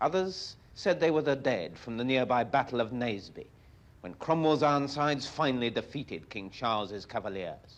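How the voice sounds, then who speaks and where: Against a quiet background, a man with a plain, everyday voice talks at a moderate pace and medium pitch with lively intonation. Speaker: television reporter. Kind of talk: documentary newsreel narration.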